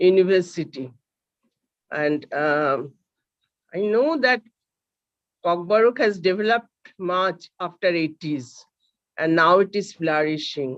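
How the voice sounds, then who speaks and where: A woman speaks in a Bengali accent with lively intonation. She leaves long, frequent pauses. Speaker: seminar host. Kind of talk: speaker introduction. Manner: halting.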